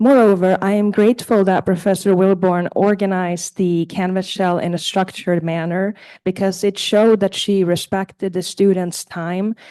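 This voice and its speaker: A woman with a non-native accent speaks in a dark, mellow tone and monotone, flat intonation. She barely pauses, and the background is quiet. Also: medium pitch for a woman, moderate pace. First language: not English. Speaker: community college student. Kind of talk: prepared testimonial read aloud. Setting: board meeting. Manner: halting, with self-corrections.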